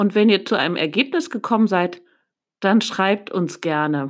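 In a very clean recording with a silent background, a woman's intonation is lively. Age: 40s. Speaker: church children's podcast host. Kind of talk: talk addressed to children.

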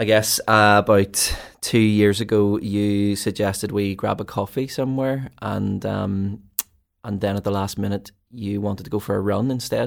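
In a Belfast accent, a man speaks at a moderate pace with a fairly low pitch and monotone, flat intonation. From Northern Ireland, East Belfast. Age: 30s. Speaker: ministry team leader and podcast co-host. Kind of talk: casual chat.

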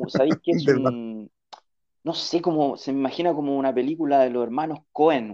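In a Chilean accent, the speaker talks at a fairly quick pace in a dark, mellow tone, with ordinary pitch variation and big swings in loudness. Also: man, fairly high pitch for a man. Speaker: podcast guest. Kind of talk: casual chat.

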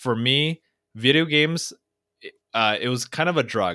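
With a Californian accent, a man speaks in a bright, sharp tone with ordinary pitch variation. The recording is very clean with a silent background, and the sound is dry and close with no echo. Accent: Californian American English. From Orange County, California. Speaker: motivational speaker. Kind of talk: interview conversation.

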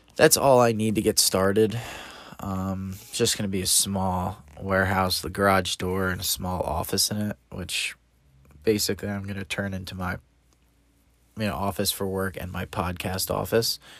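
A man with a plain, everyday voice, fairly low in pitch, fairly even in intonation, at a moderate pace. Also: very clean recording, silent background. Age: 30s. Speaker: podcast host. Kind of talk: casual solo monologue.

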